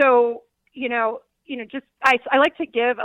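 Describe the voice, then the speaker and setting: A woman speaks with a Michigan accent at a fairly high pitch. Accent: US Midwest (Michigan). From Detroit, Michigan. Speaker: former diplomat and company founder. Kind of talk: radio interview.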